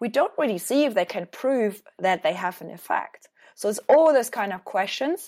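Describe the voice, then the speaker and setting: This woman has a German accent and a fairly high pitch. She talks at a moderate pace. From Germany. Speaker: hospital innovation program manager. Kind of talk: interview.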